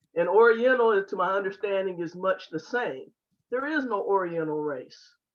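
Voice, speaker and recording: Using a normal speaking voice, a woman talks at a medium pitch and a moderate pace. Her intonation is lively. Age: 50s. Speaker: Q&A participant, cultural competency trainer. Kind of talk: online discussion comment.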